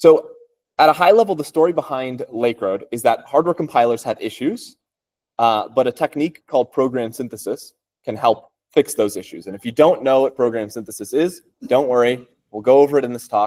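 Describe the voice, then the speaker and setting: A man with an American accent and an unremarkable speaking voice talks at medium pitch with ordinary pitch variation and big swings in loudness, in a dry, close sound with no echo. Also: fairly quick pace. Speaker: computer science researcher. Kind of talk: technical talk. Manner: casual, with many fillers.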